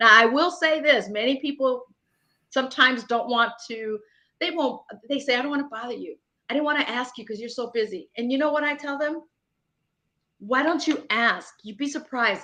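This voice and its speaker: The voice is raised and projected, with a bright, sharp tone and big swings in loudness. It moves at a moderate pace with long, frequent pauses and ordinary pitch variation. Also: woman, high pitch for a woman. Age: 50s. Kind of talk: interview. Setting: online livestream.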